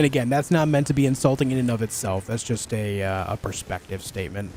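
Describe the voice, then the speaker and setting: Over noticeable background noise, a man with an American accent talks at a very fast pace and medium pitch, with ordinary pitch variation. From US, New York. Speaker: gaming streamer. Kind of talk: live gameplay stream chat. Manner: articulate; halting.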